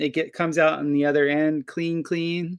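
With an American accent, a man speaks at a moderate pace in a high pitch and fairly even intonation. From Florida, US (Fort Lauderdale). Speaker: permaculture and natural building expert. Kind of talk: casual interview chat.

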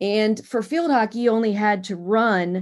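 With an American accent, a woman in an unremarkable speaking voice talks at a fairly slow pace with ordinary pitch variation, in a very clean recording with a silent background. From Pennsylvania (Harrisburg area). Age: 50s. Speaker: endurance athlete and cancer survivor. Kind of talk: interview.

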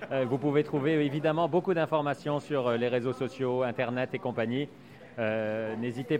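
Music plays in the background as a man speaks. His voice is fairly high, with ordinary pitch variation. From Belgium. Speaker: food podcast host. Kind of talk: podcast intro and outro; interview. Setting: on site at farm shop.

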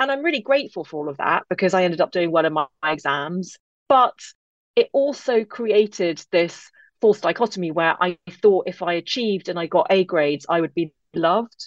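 With an English accent, a woman speaks at a fairly quick pace and with lively intonation, in a dry, close sound with no echo and a quiet background. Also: medium pitch for a woman. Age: 40s. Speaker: author and podcaster. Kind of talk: interview chat.

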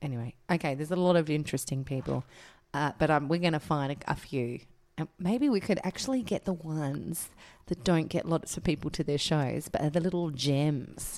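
In a very clean recording with a silent background, a woman speaks with an Australian accent at a fairly quick pace. Her pitch is very deep and low, with ordinary pitch variation. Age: 30s. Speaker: podcast co-host. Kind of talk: casual chat.

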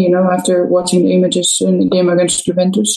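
A woman with a Spanish accent talks at a fairly quick pace and medium pitch. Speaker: professional footballer. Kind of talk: interview.

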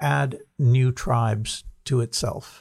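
A man talks at a medium pitch, somewhat breathy. The sound is dry and close with no echo, in a very clean recording over a silent background. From US Northeast (New Jersey). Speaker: author and think-tank president. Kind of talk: podcast interview. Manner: halting, many repetitions.

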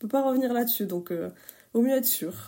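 In a dark, mellow tone, a woman speaks with ordinary pitch variation. Her recording is very clean, and the background is silent. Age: 30s. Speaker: testimony contributor. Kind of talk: testimony.

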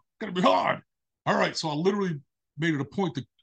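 A man with a New York accent talks at a fairly quick pace in a high pitch, with a dry, close sound and no echo. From Brooklyn, New York. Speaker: relationship coach. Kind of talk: interview conversation.

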